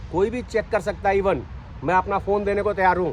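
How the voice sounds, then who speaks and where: The speaker is a man. His pitch is high. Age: 60s. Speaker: ex-armed forces facility manager. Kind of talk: interview testimony. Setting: outdoors on morning walk.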